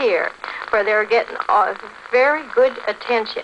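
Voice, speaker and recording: A woman speaks in a high pitch at a moderate pace. Noticeable background noise runs underneath. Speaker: hospital nurse at veterans' encampment. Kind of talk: radio interview answer.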